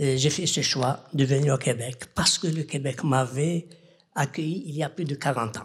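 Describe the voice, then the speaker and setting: A somewhat breathy man's voice, fairly high in pitch, with ordinary pitch variation and a very slow pace. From Algeria. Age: 70s. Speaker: audience member. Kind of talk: audience question.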